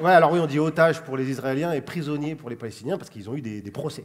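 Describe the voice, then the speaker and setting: A man with ordinary pitch variation amid noticeable background noise. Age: 30s. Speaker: comedian. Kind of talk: comedy chronicle to camera. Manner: casual, fast.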